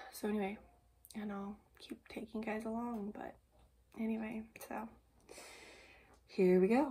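A woman with a fairly high pitch and a dark, mellow tone speaks at a moderate pace in a somewhat breathy, monotone, flat delivery. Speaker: family vlogger. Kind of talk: casual vlog talk. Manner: halting, many fillers.

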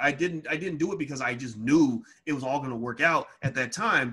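Over a quiet background, a man with a fairly high pitch and a bright, sharp tone speaks at a fairly quick pace with ordinary pitch variation. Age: 40s. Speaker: finance educator hosting a Q&A webinar. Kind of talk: casual Q&A webinar. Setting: Zoom webinar. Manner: frequent fillers and repetitions. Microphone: webcam.

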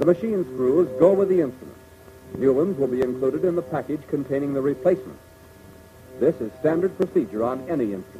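A man with a fairly high voice for a man talks at a very fast pace over noticeable background noise. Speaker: film narrator. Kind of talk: 1940s military training film narration. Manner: formal, brisk, authoritative, measured; didactic, clipped, earnest. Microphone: old recording.

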